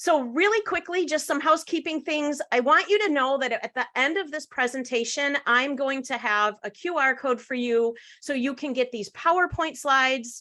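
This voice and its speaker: Against a quiet background, a woman uses a raised, projected voice with a high pitch, a bright, sharp tone and lively intonation. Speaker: social media trainer. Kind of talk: webinar presentation.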